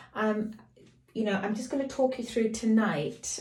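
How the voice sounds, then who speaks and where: Audible room echo surrounds a woman whose voice is somewhat breathy with a dark, mellow tone. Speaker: lifestyle and fashion vlogger. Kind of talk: beauty tutorial. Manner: casual, chatty.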